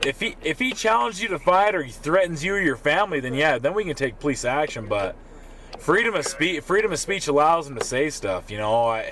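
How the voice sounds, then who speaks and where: This man's fairly high voice moves at a fairly quick pace, swinging very widely in pitch over noticeable background noise. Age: 30s. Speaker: police officer. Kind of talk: casual chat. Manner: halting.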